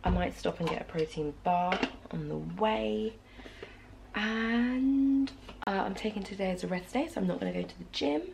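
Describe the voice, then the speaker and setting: A woman with a British accent talks at a moderate pace with long, frequent pauses, noticeable background noise behind her. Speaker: fitness vlogger. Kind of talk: casual vlog talk to camera. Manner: soft-spoken.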